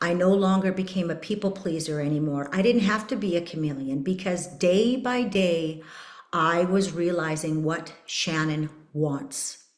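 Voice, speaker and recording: Someone with a Canadian accent speaks at a fairly slow pace with ordinary pitch variation. Room echo and noticeable background noise are both audible. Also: woman, fairly low pitch for a woman. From Canada, Saskatchewan. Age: 50s. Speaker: podcast host. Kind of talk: personal testimony.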